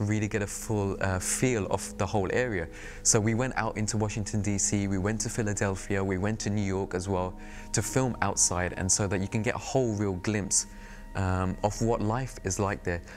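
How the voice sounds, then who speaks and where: A man with a British accent speaks at a fairly quick pace in a fairly low pitch. Music plays in the background. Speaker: TV producer and presenter. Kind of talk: interview reflection. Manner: casual.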